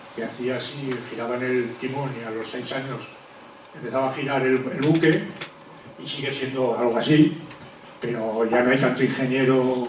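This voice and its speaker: A man at medium pitch and a moderate pace, flat and monotone, with audible room echo and noticeable background noise. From Spain, Zaragoza (Aragon). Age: 60s. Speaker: former river basin authority safety engineer. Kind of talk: public talk. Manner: halting.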